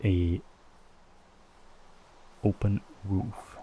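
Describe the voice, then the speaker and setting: A soft-spoken man talks in a dark, mellow, somewhat breathy voice. His pitch is fairly low and his intonation fairly even. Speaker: ASMR gaming creator. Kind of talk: soft-spoken ASMR gameplay commentary.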